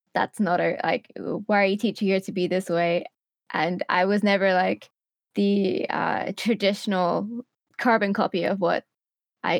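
In a dry, close sound with no echo, a woman with a normal speaking voice talks at a moderate pace in a medium pitch with fairly even intonation. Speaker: content creator and streamer. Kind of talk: casual interview chat.

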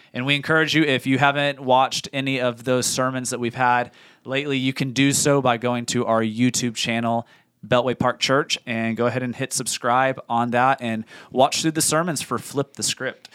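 Speaking at a moderate pace in a monotone, flat manner, a man of medium pitch is heard in a dry, close sound with no echo. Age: 30s. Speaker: church podcast host. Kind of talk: casual chat.

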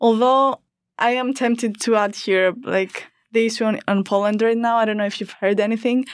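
A woman with a Greek accent at a fairly high pitch, a moderate pace and fairly even intonation, in a very clean recording with a silent background. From Greece. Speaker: student podcast host. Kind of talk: interview. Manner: hesitant, repeats words.

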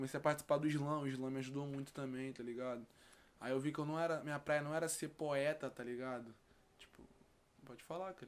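Talking at a fairly quick pace, a man uses a fairly high pitch and fairly even intonation. His loudness swings a lot, with long, frequent pauses. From Rio de Janeiro, West Zone (Campo Grande). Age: 20s. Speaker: rapper. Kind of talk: casual chat.

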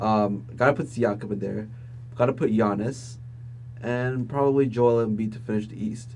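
A somewhat breathy man at medium pitch, moderate pace and fairly even intonation, with audible room echo. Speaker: podcast co-host, journalism student. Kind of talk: casual chat.

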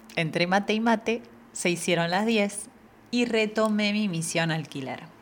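With a Rioplatense accent, a woman speaks at medium pitch with ordinary pitch variation. She goes at a fairly slow pace with long, frequent pauses. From Argentina. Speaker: podcast host. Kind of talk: personal monologue.

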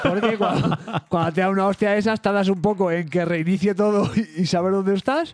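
An animated man with a Madrid accent at a fairly quick pace, amid noticeable background noise. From Madrid, Spain. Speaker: podcast co-host. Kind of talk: casual chat.

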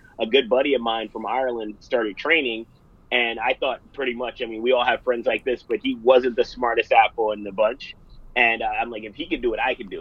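Talking at a fairly quick pace, a man with a New York accent shows big swings in loudness. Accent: American (New York). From US. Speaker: fitness studio owner and business coach. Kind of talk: interview. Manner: energetic, animated.

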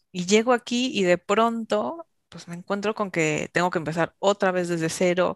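A plain, everyday voice talks at a moderate pace with ordinary pitch variation and big swings in loudness. The sound is dry and close, with no echo. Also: woman, medium pitch for a woman. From Mexico. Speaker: intercultural trainer. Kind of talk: interview.

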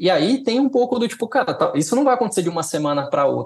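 A man's voice with very wide pitch swings. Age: 30s. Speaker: design director. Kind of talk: casual interview chat. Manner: halting, many fillers and repetitions.

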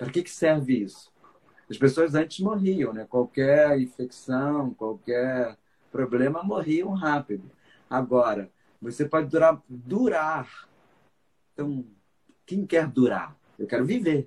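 Delivery comes at a very slow pace, broken by long, frequent pauses. The intonation is lively. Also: man, fairly high pitch for a man. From Brazil, Rio de Janeiro. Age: 50s. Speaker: psychologist and biodanza teacher. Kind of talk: casual interview on live stream. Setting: Instagram live video call.

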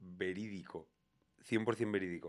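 Speaking at a very slow pace, a man keeps his intonation fairly even. His fairly low voice comes through in a very clean recording with a silent background. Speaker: podcast host. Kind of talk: casual chat.

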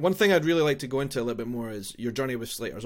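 At a very fast pace, a man with a Scottish accent speaks at medium pitch on a very clean recording with a silent background. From Scotland. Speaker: podcast host. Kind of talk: casual interview chat.

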